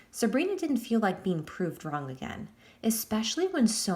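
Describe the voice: Someone reads text aloud in a plain way.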